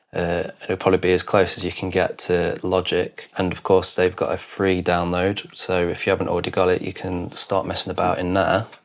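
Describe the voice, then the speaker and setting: Fairly quick speech with hardly any pauses comes through over noticeable background noise. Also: man. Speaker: video producer. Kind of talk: tutorial.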